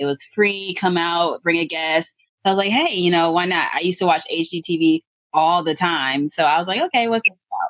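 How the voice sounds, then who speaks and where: A woman with an American accent, a plain, everyday voice, fairly low pitch, ordinary pitch variation and a fairly quick pace, in a dry, close sound with no echo. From US South, Atlanta. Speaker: real estate investor. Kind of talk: interview.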